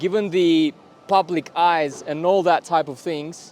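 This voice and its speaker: A man with a Russian accent talks at a fairly slow pace, his high pitch held in fairly even intonation. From Kazakhstan, Almaty. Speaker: vlogger. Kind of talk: vlog to camera. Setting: outdoors in public. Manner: deliberate pauses, avoiding filler words.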